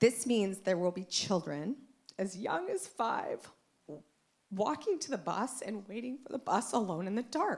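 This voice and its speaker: Loud and fairly high-pitched, a woman speaks at a fairly slow pace with very wide pitch swings. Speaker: parent giving public comment. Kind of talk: public comment at school board meeting. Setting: public meeting with microphone.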